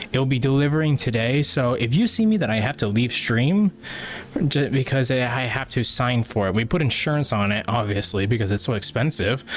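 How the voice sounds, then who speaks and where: A man talks at a fairly quick pace over noticeable background noise. His medium-pitched voice has ordinary pitch variation and very even loudness. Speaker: livestreamer. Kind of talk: casual chat. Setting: livestream.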